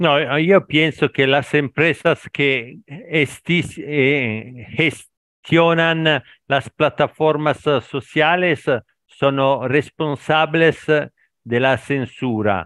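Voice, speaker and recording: A man with an Italian accent speaks at a very slow pace and a fairly high pitch. His loudness stays very even, with ordinary pitch variation. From Italy. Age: 50s. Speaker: language learner, factory worker. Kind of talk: casual conversation practice. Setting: online call. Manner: halting, mixes Italian and Spanish.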